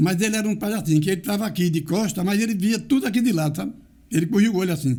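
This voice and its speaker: A man's lively intonation amid audible room echo. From Brazil, Garanhuns, Pernambuco (Northeast). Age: 80s+. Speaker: local community elder and author. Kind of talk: interview, life story telling.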